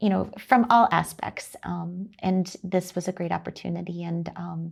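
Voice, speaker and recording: Speaking fairly slowly, a woman talks with an American accent. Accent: slight Wisconsin drawl over Texan roots. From Texas. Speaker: chamber of commerce executive. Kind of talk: interview.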